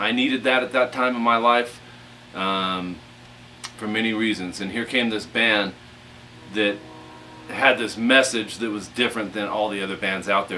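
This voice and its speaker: Mumbling at a moderate pace, a man with a fairly low voice speaks against noticeable background noise. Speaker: guitar instructor. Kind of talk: casual talk to camera before a guitar lesson. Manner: mumbling, halting with fillers.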